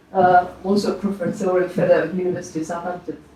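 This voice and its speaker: A woman speaks over noticeable background noise. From France. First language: French. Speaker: oceanography professor. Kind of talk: presentation to an audience. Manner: relaxed, with frequent fillers.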